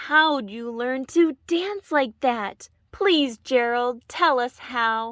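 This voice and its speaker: In a very clean recording with a silent background, a woman uses a put-on character voice at a high pitch, speaking very slowly with hardly any pauses. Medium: read story.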